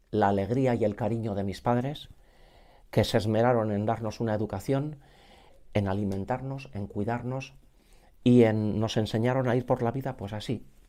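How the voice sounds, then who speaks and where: The voice has a dark, mellow tone and fairly even intonation at a moderate pace, broken by long, frequent pauses. The recording is very clean, with a silent background. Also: man, medium pitch for a man. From Basque Country, Legazpi (Gipuzkoa). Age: 50s. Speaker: musician and choir director. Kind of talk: interview.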